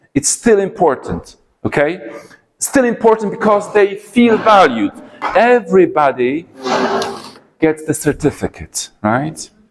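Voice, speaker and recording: The speaker has an animated tone and very wide pitch swings. The pace is fairly slow, with long, frequent pauses. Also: man, high pitch for a man. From Poland. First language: Polish. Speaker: English teacher trainer. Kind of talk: conference talk. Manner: repetitive with hesitations.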